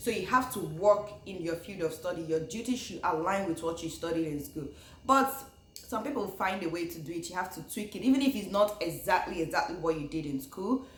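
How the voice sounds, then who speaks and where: With a Nigerian accent, the speaker goes at a fairly quick pace with lively intonation and big swings in loudness, over noticeable background noise. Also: woman, medium pitch for a woman. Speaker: YouTuber, former international graduate student. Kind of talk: casual talk to camera.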